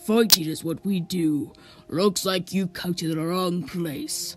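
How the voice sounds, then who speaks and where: A put-on character voice at a middle pitch, fairly slow, with faint music in the background. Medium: machinima.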